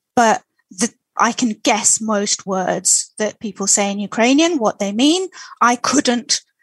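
At a very slow pace, a woman speaks in a fairly high, somewhat breathy voice with lively intonation, the sound dry and close with no echo. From Moscow, Russia. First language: Russian. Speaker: language expert helping Ukrainian refugees. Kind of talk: interview.

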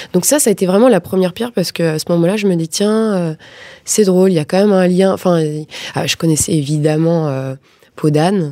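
Over noticeable background noise, a woman talks at a fairly quick pace with a fairly low pitch and ordinary pitch variation. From Paris suburbs, France. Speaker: film director. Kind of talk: interview.

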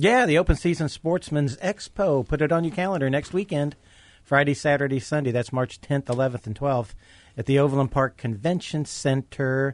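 At a moderate pace, an ordinary speaking voice talks with ordinary pitch variation. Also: man, fairly high pitch for a man, dry, close sound with no echo. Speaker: radio co-host. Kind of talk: casual banter, radio show.

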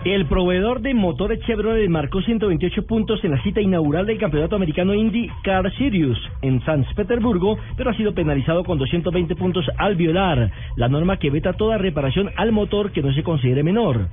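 Music plays in the background as the speaker goes on with hardly any pauses. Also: moderate pace. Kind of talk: formal newsreading, brisk bulletin delivery of sports and motoring news. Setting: radio studio. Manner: formal, crisp and clearly enunciated.

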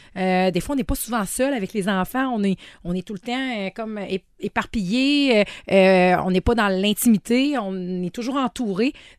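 In a Quebec accent, a woman speaks at a medium pitch with ordinary pitch variation. Her pace is fairly slow, and the background is quiet. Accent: Québécois French. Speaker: sex shop owner. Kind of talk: casual chat. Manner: hesitant, many fillers.

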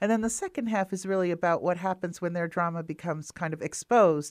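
An ordinary speaking voice in an American accent, fairly quick in pace with ordinary pitch variation, on a very clean recording with a silent background. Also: woman. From Wisconsin, US Midwest. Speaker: novelist and writing program director. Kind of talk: interview.

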